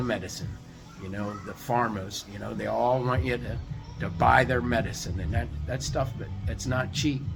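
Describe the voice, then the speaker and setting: Over music in the background, a man speaks at a moderate pace with lively intonation. Audible room echo surrounds his voice. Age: 60s. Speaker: roofing business owner. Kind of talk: casual motivational vlog. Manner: halting, many fillers.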